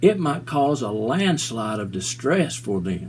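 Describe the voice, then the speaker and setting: The man's pitch is medium and his pace fairly slow. Noticeable background noise runs behind him. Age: 60s. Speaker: mental health video blogger. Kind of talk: personal talk to camera. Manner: halting.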